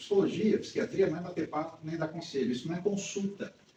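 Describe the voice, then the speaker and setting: Noticeable background noise sits behind the speech. A man with a high pitch talks at a fairly quick pace. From Brazil, Rio de Janeiro. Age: 60s. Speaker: psychologist. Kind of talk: talk to a women's group.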